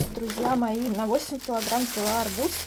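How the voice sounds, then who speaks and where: A woman with a fairly high pitch and ordinary pitch variation speaks against noticeable background noise. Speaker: village lifestyle vlogger. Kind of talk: casual vlog chat.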